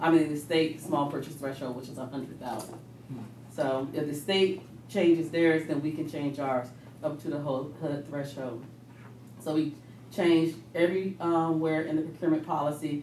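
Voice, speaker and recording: The speech comes at a moderate pace with audible room echo and light background noise. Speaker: presenter. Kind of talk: meeting report. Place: meeting room. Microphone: camera far.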